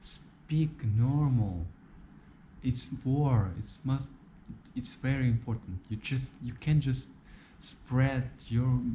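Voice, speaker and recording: With a non-native accent, a man speaks at a very slow pace with long, frequent pauses, his medium pitch showing ordinary variation in a dark, mellow, somewhat breathy tone. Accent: non-native English, says his English is bad. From Ukraine. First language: Russian. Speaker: YouTuber. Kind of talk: video monologue. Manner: halting, repeats words; passionate.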